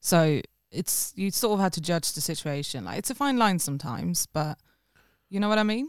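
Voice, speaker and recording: A woman with a Swedish accent talks at a fairly quick pace, her fairly low pitch swinging very widely. The sound is dry and close with no echo, on a very clean recording with a silent background. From Sweden. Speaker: musician. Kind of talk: casual chat. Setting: studio.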